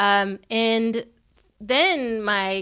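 Here a woman talks with a Californian accent and fairly even intonation. Her tone is bright and sharp. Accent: General American (California). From California, US. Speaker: podcast co-host, storyteller and activist. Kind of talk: interview. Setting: in person in Los Angeles.

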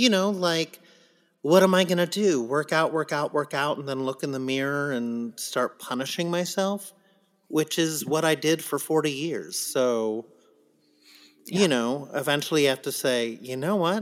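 A man's fairly high voice, an unremarkable speaking voice, at a moderate pace with ordinary pitch variation. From US West Coast (San Diego). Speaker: Broadway actor. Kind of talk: casual chat.

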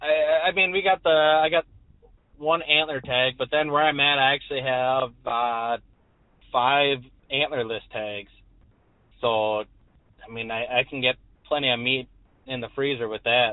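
A man talks at a fairly slow pace with long, frequent pauses. His pitch is medium, with ordinary pitch variation. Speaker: caller, hunter. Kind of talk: casual chat.

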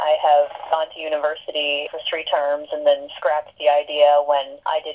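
Her pace is moderate as the woman speaks. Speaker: barista and worker organizer. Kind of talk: interview. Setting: phone call.

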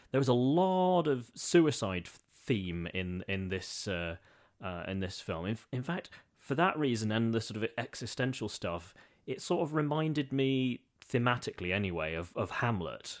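A man's medium-pitched voice with very wide pitch swings at a moderate pace, in a very clean recording over a silent background. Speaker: guest, former teacher in Russia. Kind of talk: casual chat.

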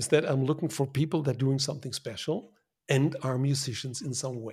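Over a silent background in a very clean recording, a man speaks with a German accent, somewhat breathy, with ordinary pitch variation. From Germany. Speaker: design consultant. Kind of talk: casual interview.

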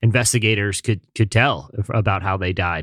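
Fairly low in pitch with ordinary pitch variation, a man speaks in a plain, everyday voice in a very clean recording with a silent background. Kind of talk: casual chat.

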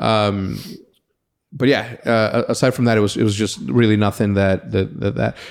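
Fairly low-pitched male voice at very even loudness, in a very clean recording with a silent background. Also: ordinary pitch variation, moderate pace. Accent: Spanish. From Mexico. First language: Spanish. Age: 30s. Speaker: podcast host. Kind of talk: casual chat. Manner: animated, frequent word repetitions.

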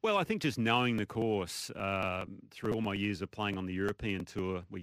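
This man has an Australian accent and a fairly low pitch. He speaks at a fairly quick pace. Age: 50s. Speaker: golf pundit, former pro golfer. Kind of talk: sports radio chat.

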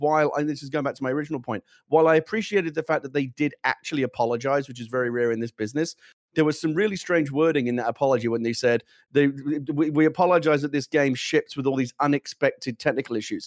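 A man at a fairly high pitch with ordinary pitch variation and a very fast pace, in a dry, close sound with no echo. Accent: British. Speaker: gaming show co-host. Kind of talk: casual chat. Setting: studio.

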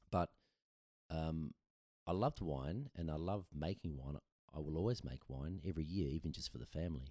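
Speaking with an Australian accent, a man uses a very deep, low pitch and a dark, mellow tone, with ordinary pitch variation and long, frequent pauses, in a dry, close sound with no echo. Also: fairly quick pace. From Adelaide, South Australia. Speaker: brewery founder and former winemaker. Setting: kitchen table podcast setup.

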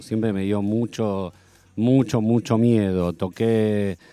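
A man at medium pitch, with music in the background. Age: 50s. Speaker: musician. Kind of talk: radio interview. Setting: studio.

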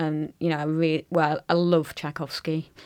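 A woman's very deep, low voice in monotone, flat intonation, against a quiet background. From Lancashire, northern England. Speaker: conductor. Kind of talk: casual chat. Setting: studio.

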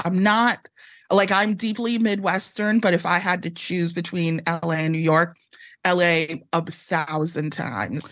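A woman's plain, everyday voice with an American accent, fairly low in pitch, with ordinary pitch variation. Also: fairly slow pace. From Chicago area, Illinois (Evanston). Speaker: author. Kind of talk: casual interview chat.

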